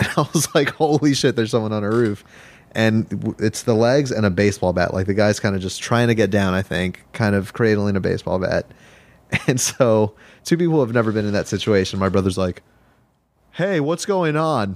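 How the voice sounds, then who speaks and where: A man with a fairly low pitch and an American accent talks at a fairly quick pace in a normal speaking voice, his intonation lively, on a very clean recording with a silent background. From Los Angeles. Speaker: podcast guest. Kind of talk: casual chat.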